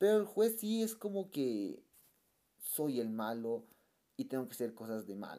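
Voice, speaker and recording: A man with a dark, mellow tone speaks at a medium pitch and a fairly slow pace. His very wide pitch swings come between long, frequent pauses. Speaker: film review youtuber. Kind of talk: casual monologue review. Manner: halting, many repetitions.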